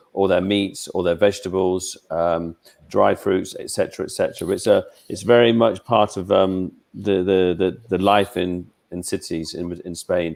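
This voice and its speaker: On a very clean recording with a silent background, a man with a British accent speaks at a fairly low pitch and moderate pace, his intonation fairly even. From England. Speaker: travel expert. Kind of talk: interview about travel. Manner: halting, many repetitions.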